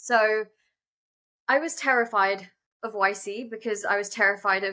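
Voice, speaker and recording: A woman speaks with a British accent, her pitch fairly high and her tone bright and sharp. Her pitch varies in an ordinary way. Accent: non-American, British. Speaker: startup founder and CEO. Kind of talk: interview conversation. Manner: fast, many fillers.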